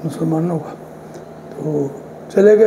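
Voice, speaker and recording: A man's voice rises and falls in a normal way while clearly audible noise sits behind it. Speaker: elder sharing village memories. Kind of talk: interview storytelling.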